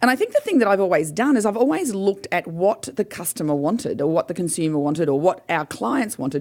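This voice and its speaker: With an Australian accent, a woman of medium pitch talks at a very fast pace with hardly any pauses. Her pitch swings are very wide. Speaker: business owner and motivational speaker. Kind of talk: radio interview.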